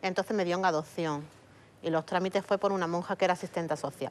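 The speech comes at a very fast pace with fairly even intonation over light background noise. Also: woman. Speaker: adoptee searching for birth mother; guest. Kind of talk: TV interview testimony. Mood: serious, personal. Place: studio.

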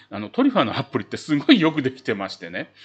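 With very wide pitch swings, a man speaks fairly quickly over a quiet background. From Japan. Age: old. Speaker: travel YouTuber; travel vlogger. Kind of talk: casual tutorial video; casual explanatory vlog talk. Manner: filler-heavy, conversational. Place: home room.

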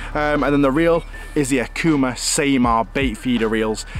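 Light background noise is present as a man speaks at a moderate pace. The sound is dry with no echo, and his pitch varies in an ordinary way. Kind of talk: tutorial. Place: forest.

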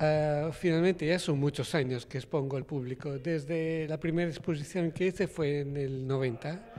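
With fairly even intonation, a man talks in a dark, mellow tone. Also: moderate pace. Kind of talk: interview answer. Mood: calm, warm. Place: hall. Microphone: handheld.

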